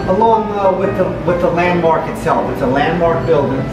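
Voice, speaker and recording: A man with ordinary pitch variation amid loud background noise and audible room echo. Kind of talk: interview answer. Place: cafe. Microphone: phone near.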